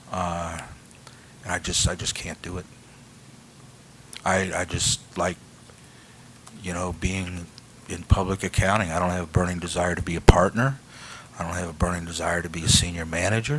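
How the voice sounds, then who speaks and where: With a very deep, low pitch, a man talks at a moderate pace in fairly even intonation, with long, frequent pauses and big swings in loudness. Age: 60s. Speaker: accountant seeking license reinstatement. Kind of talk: testimony. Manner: halting.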